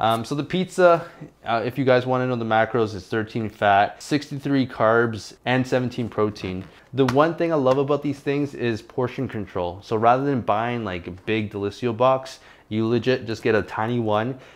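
A man's speech moves at a moderate pace, and his pitch varies in an ordinary way. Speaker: fitness vlogger. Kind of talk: casual vlog chat. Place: kitchen.

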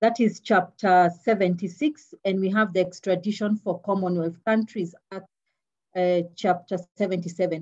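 A somewhat breathy woman at a fairly slow pace. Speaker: public prosecutor. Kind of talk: webinar presentation. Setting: video call.

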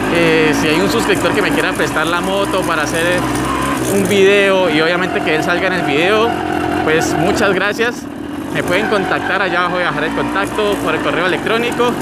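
A man talking at a fairly quick pace, dry with no echo, over loud background noise. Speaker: motovlogger. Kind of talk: casual vlog chat. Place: motorbike.

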